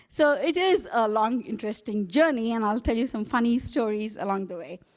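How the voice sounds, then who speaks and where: With an Indian accent, a woman speaks at a moderate pace in a fairly high pitch, her intonation lively over a very clean recording with a silent background. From India, Hyderabad. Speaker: global health executive. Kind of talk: keynote speech.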